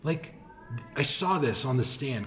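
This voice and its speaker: Noticeable background noise sits behind a man's voice. His pitch is medium and varies in an ordinary way. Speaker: cigar shop host. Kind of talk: casual talk to camera. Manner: soft-spoken.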